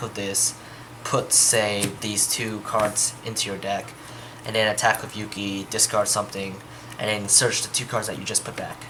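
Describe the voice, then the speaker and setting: Noticeable background noise sits behind a man speaking at a moderate pace. His pitch is fairly low. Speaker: card game deck reviewer. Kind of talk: casual deck tech explanation to camera.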